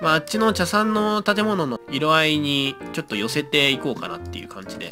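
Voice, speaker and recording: With music playing behind, the talking proceeds at a moderate pace. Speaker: gaming video creator. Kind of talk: casual gameplay commentary.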